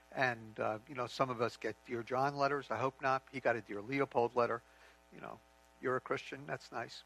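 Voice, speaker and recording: Speaking at a moderate pace with fairly even intonation, a man of medium pitch has a bright, sharp tone in a dry, close recording with no echo. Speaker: ministry leader and preacher. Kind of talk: sermon.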